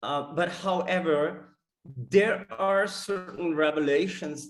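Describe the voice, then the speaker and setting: Speaking at a very slow pace, a man with a high pitch talks with a non-native accent. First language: not English. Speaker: data scientist presenting research. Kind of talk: conference talk. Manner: halting with many fillers.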